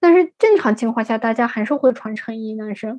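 The speaker uses a normal speaking voice at a moderate pace. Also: woman. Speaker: consultant living abroad. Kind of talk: interview.

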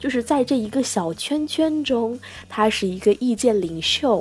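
A woman speaks in a high pitch with an animated tone. Her pitch swings very widely. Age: 20s. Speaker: podcast host on e-commerce. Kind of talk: casual solo podcast talk. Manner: animated, chatty with frequent laughs.

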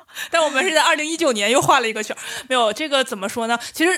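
Through noticeable background noise, a woman with a high pitch uses a raised, projected voice, lively intonation, and a very fast pace. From Northeast China. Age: 30s. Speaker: urban planner and amateur stand-up comedian. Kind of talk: casual chat.

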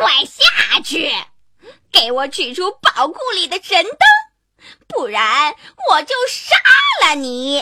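A woman shouts in a put-on character voice, high-pitched with big pitch swings and a bright, sharp tone. She goes at a slow pace.

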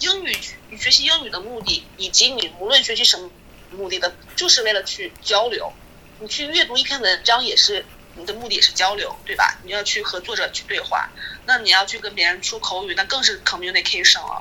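Fairly quick speech with big swings in loudness over noticeable background noise. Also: woman. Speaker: children's English teacher. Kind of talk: casual chat.

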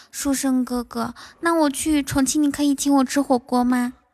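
Putting on a whiny character voice, a woman speaks high and whiny at a moderate pace. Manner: cutesy, whiny, coquettish.

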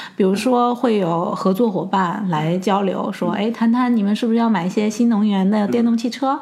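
Against noticeable background noise, a woman speaks at a fairly high pitch and a moderate pace, with hardly any pauses and very even loudness. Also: ordinary pitch variation. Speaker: regional general manager of a ride-hailing company. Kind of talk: interview. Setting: office.

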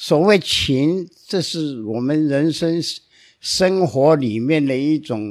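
At a very slow pace, a man talks with a fairly high pitch and lively intonation in a very clean recording with a silent background. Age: 80s+. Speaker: lawyer. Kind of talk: storytelling.

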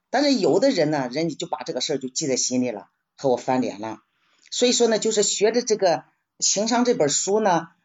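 A woman is talking. Her voice rises and falls in very wide pitch swings. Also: long, frequent pauses. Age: 70s. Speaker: retiree book club member. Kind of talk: personal reflection sharing. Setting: live-streamed book club session. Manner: casual, conversational.

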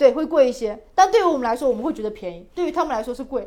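Her pitch rises and falls across a very wide range. The speaker is a woman. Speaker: traveler. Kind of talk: casual chat. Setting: outdoors by a fireplace in a yard.

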